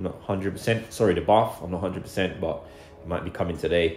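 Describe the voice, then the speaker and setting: Over music in the background and audible room echo, a man speaks at a fairly quick pace. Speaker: builder vlogger. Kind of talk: casual vlog chat. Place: home room. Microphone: phone near.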